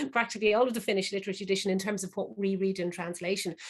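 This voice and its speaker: A woman with an Irish accent at medium pitch, against a quiet background. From Ireland. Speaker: crime novelist and event moderator. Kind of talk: panel discussion. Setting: online video call.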